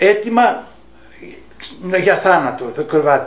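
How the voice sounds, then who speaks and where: A man's high-pitched voice with ordinary pitch variation, a fairly slow pace, and noticeable background noise. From Greece, Athens area. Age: 80s+. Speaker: wartime occupation witness. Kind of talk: testimony. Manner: halting.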